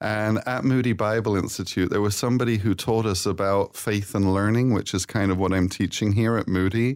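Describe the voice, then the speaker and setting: A man with a plain, everyday voice speaks at a fairly low pitch with very even loudness and hardly any pauses, on a very clean recording with a silent background. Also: fairly quick pace. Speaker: professor. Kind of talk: casual chat. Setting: studio.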